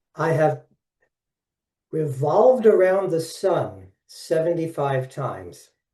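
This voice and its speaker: A man's fairly high voice with a dark, mellow tone and lively intonation, at a very slow pace with long, frequent pauses. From Brooklyn, New York. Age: 70s. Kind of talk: webinar presentation. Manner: animated.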